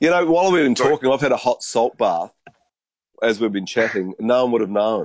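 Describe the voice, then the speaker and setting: Speaking very fast with a New Zealand accent, a man uses lively intonation, a medium pitch and very even loudness. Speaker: panelist. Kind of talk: casual chat. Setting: video call.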